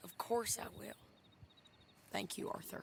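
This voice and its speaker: Over clear background noise, a man puts on a raspy character voice at a moderate pace. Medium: video game. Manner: blunt, tough.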